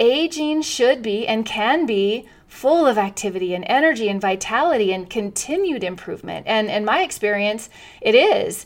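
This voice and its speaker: A woman with a fairly high pitch speaks at a moderate pace in an enthusiastic tone, her intonation lively. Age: 50s. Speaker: wellness podcast host. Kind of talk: solo podcast monologue.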